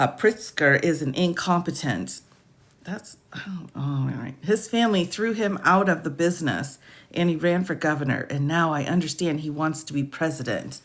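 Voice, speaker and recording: A woman speaks in a very deep, low pitch with vocal fry. Her pace is moderate and her pitch variation ordinary. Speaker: lawyer commentator. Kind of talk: reading aloud with commentary. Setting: livestream.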